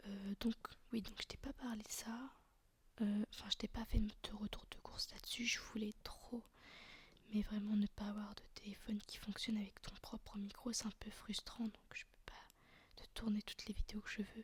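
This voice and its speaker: Soft-spoken and with a relaxed tone, a man talks at a moderate pace and a high pitch, his intonation monotone and flat and his loudness swinging widely. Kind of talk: casual talk to camera. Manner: soft-spoken, relaxed, chatty.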